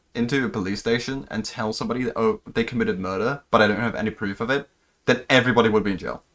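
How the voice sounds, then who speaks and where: This man talks very fast in a medium pitch. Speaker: streamer reacting to videos. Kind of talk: live stream reaction commentary. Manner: stutters at times.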